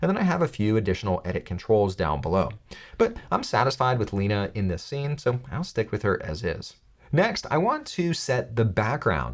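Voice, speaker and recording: A man's medium-pitched voice with vocal fry and very wide pitch swings, at a moderate pace on a very clean recording with a silent background. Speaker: tech tutorial youtuber. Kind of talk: tutorial. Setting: studio.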